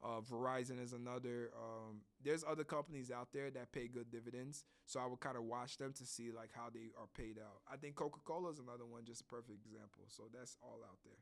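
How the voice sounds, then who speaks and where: Very fast delivery with big swings in loudness and fairly even intonation. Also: man, medium pitch for a man. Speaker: podcast host. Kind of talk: educational podcast monologue. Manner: casual, with fillers.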